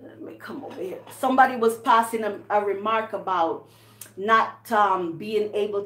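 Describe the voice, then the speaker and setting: A woman with a Jamaican accent talks fairly slowly, with music in the background and audible room echo. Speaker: channel host, storyteller. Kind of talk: casual chat. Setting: live stream from home kitchen.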